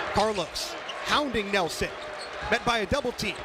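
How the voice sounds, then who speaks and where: A man at a moderate pace, ordinary pitch variation, and noticeable background noise. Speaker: sports radio play-by-play announcer. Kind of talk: basketball play-by-play radio call. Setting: college radio broadcast.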